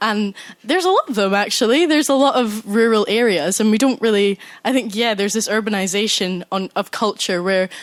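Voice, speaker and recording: A woman speaks at a moderate pace with a Scottish accent. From Scotland, Scottish Borders (Galashiels). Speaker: university student, audience member. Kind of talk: audience contribution in a live debate.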